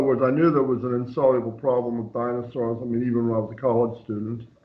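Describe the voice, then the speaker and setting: A man speaks at a medium pitch, with audible echo from the room. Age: 70s. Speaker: author of catastrophist astronomy theories. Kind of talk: casual chat. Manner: halting.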